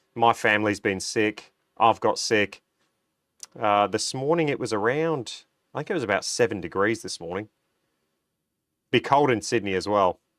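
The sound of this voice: A man speaks at a moderate pace with a fairly low pitch, a fairly bright tone and ordinary pitch variation. Long, frequent pauses break up his speech, and the sound is dry and close with no echo.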